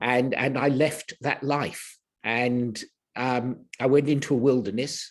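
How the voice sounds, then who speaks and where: The background is silent on this very clean recording. A man's voice sits at a medium pitch. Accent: English. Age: 70s. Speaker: healer. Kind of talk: interview. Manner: halting.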